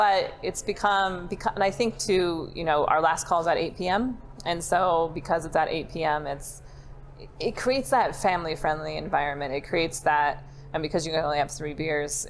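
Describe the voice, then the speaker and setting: Over light background noise, a woman speaks in a normal speaking voice at a moderate pace with ordinary pitch variation. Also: fairly low pitch for a woman. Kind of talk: interview answer. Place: bar. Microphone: lapel.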